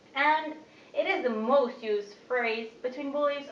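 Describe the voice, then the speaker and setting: A high-pitched woman speaks at a moderate pace with lively intonation, amid noticeable background noise and audible room echo. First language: not Dutch. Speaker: student. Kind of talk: speech.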